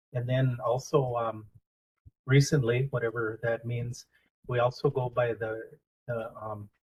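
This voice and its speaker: Speaking at a fairly slow pace with long, frequent pauses, a man with an American accent holds a medium pitch in a monotone, flat delivery that is somewhat breathy. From US Upper Midwest, Red Cliff reservation, northern Wisconsin. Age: 60s. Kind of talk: community talk, storytelling. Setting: library event with audience. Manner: halting, many filler words.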